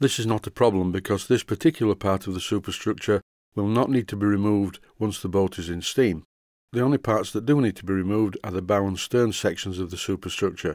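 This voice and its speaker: Speaking fairly quickly, a man with a Yorkshire accent has a fairly low pitch. The recording is very clean, dry and close, with no echo and a silent background. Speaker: model steam engineer. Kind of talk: tutorial narration.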